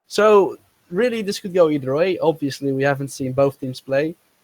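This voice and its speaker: This man speaks at a fairly quick pace with a non-native accent and a fairly high pitch, recorded with a dry, close sound and no echo. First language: not English. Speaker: esports co-caster. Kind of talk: live commentary.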